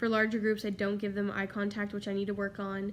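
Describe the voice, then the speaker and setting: A woman is speaking here. Her voice sits at a medium pitch. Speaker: education student. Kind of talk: reflective class presentation. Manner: loud; upbeat.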